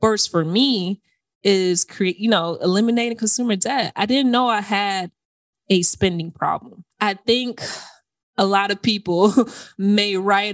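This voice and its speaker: A woman's plain, everyday voice in an American accent, medium in pitch, with fairly even intonation and a fairly slow pace, in a very clean recording with a silent background and a dry, close sound with no echo. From Florida, US. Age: 30s. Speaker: personal finance podcaster. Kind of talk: interview conversation.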